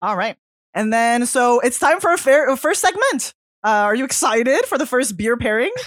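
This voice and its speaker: The voice carries a French Canadian accent and lively intonation. Its pace is moderate. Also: woman, high pitch for a woman. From Quebec. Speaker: podcast co-host. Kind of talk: casual chat.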